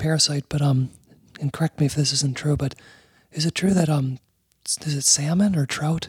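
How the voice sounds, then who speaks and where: A man whispers at a fairly quick pace, somewhat breathy, in a dry, close sound with no echo. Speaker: podcast co-host.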